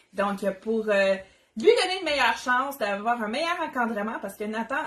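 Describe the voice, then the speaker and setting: A woman with a Quebec accent, animated in tone and lively in intonation. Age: 30s. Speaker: Tupperware consultant, cooking demo host. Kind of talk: live cooking demo. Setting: livestream from home kitchen.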